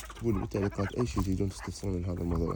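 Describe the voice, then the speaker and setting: A man's very deep, low pitch against noticeable background noise. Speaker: chicken keeper vlogger. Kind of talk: casual vlog tutorial. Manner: casual, with fillers.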